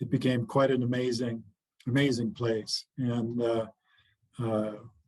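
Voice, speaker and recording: The delivery comes at a fairly slow pace with monotone, flat intonation. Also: man. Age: 60s. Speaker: retired football player and chaplain. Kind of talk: interview. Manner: halting, many fillers.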